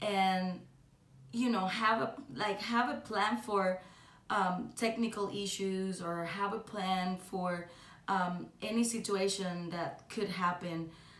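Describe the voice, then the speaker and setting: Amid audible room echo and noticeable background noise, a woman speaks in a Cuban accent at a very slow pace with fairly even intonation. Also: medium pitch for a woman. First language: Spanish. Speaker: singer. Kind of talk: podcast monologue. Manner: halting, many fillers.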